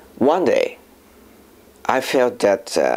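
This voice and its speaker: The speaker talks at a fairly slow pace with a Japanese accent. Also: man. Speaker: filmmaker and voice actor. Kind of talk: personal testimony. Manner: halting, with fillers.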